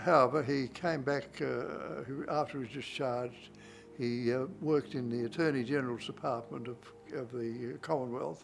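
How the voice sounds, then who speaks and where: With an Australian accent, a man speaks at a fairly slow pace and a medium pitch. His pitch variation is ordinary, and music plays in the background. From Australia, Darwin. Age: 90s. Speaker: war veteran. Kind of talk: interview. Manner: halting, many fillers.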